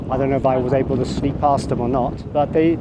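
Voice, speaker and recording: A man talks while noticeable noise is heard in the background. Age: 60s. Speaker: travel vlogger. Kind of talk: travel vlog narration. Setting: outdoors. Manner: animated.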